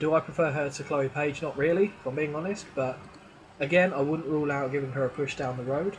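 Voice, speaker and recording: Talking at a very fast pace, a man with an English accent has a fairly high pitch and fairly even intonation. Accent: English accent, others mock it. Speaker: gaming YouTuber. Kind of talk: gameplay commentary. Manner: casual, thinking aloud.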